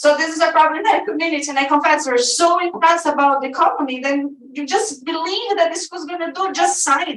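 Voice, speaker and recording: This woman talks at a fairly quick pace with hardly any pauses, her extremely high voice showing ordinary pitch variation. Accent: strong Brazilian. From Brazil. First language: Portuguese. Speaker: activist group leader and teacher. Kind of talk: public comment at a school board meeting. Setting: board meeting room with audience. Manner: halting.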